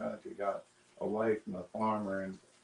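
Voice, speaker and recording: This man speaks with a Southern US accent. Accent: Southern US rural. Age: 60s. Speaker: interviewee. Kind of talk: sit-down interview. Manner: halting.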